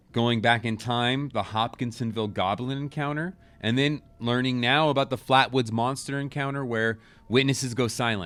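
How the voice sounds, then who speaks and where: Here is an unremarkable speaking voice from a man at medium pitch and a moderate pace, with ordinary pitch variation. The recording is very clean, with a silent background. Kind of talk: casual storytelling podcast narration with chatty asides.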